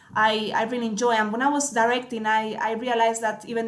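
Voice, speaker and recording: Audible room echo around a woman's fairly high-pitched voice. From Spain, small town. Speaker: cinematographer. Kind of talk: interview. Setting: podcast recording. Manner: hesitant, many fillers.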